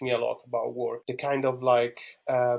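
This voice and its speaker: A man in an Italian accent, medium in pitch, with monotone, flat intonation. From Italy (Rome). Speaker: podcast guest, Bitcoin enthusiast. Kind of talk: interview conversation. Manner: hesitant, many fillers and repeats.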